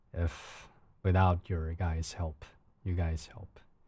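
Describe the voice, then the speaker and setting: Very slowly and with a calm tone, a man speaks in a very deep, low pitch, his voice dark, mellow and somewhat breathy, in a very clean recording with a silent background. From China. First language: Chinese. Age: 30s. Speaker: live streamer. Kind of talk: casual live stream chat. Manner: halting.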